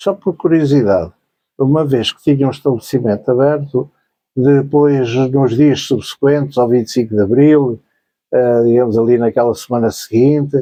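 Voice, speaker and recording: A man talks with a plain, everyday voice. His pace is moderate and his pitch variation ordinary. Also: medium pitch for a man. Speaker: interviewer. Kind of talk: interview questions.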